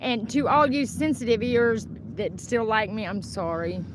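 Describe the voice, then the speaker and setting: A woman with an American accent speaks at a fairly high pitch with ordinary pitch variation, and audible room echo surrounds her voice. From Oklahoma, Wyandotte. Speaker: livestreamer. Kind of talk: casual livestream rant. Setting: outdoors, in shade. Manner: animated, heated.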